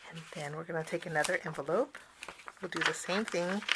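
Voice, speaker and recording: A woman speaks at a moderate pace with a fairly low pitch and ordinary pitch variation. Noticeable background noise runs underneath. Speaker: cardmaking instructor. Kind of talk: tutorial. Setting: on camera, online class.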